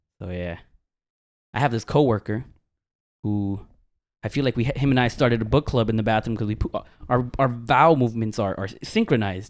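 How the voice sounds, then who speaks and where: With an American accent, a man talks at a fairly quick pace and medium pitch, with ordinary pitch variation and long, frequent pauses. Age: 30s. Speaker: podcast co-host. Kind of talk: casual chat.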